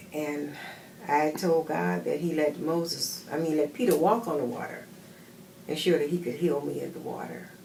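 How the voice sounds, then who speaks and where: A woman's very deep, low voice at a moderate pace with ordinary pitch variation, noticeable background noise and audible room echo. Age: 70s. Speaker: patient giving a testimonial. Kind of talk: testimony.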